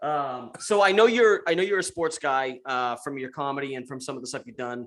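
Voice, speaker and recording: This man speaks at a fairly quick pace with a fairly high pitch. His intonation is lively. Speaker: podcast host. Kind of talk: casual chat. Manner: fast.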